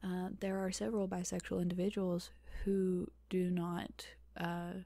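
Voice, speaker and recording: A woman speaks in a soft-spoken manner. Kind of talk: ASMR Q&A, casual talk to camera. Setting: home recording, close microphone.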